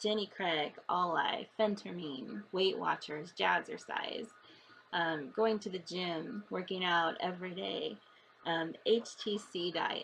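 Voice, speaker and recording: Vocal fry at a very slow pace, with ordinary pitch variation. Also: woman, medium pitch for a woman. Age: 40s. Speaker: vlogger. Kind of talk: personal vlog. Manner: halting.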